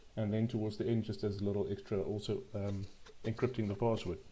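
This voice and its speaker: In a fairly low pitch, a man speaks with a dark, mellow tone and monotone, flat intonation. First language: not English. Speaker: programming tutorial youtuber. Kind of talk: tutorial. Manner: halting, frequent ums and repetitions.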